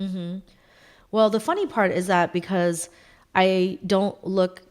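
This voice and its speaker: Fairly even intonation and a fairly slow pace, in an American accent. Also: woman, medium pitch for a woman. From US, Cambodian-American family. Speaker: tech consultant, former partner program manager. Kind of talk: casual interview chat. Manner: hesitant, many fillers.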